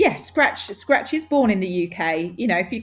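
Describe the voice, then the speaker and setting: Music plays in the background as a woman talks with very wide pitch swings. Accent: Essex. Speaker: nail industry magazine representative. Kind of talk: podcast interview. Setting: podcast. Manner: animated, enthusiastic.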